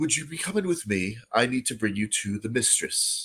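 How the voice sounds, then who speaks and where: Using a put-on character voice, a man with a medium pitch speaks at a moderate pace. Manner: bowing, polite, courteous.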